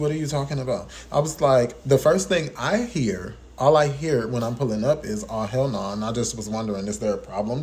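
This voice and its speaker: A man speaks at a moderate pace with an animated tone. His pitch is medium with ordinary variation. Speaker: vlogger. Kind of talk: storytelling monologue.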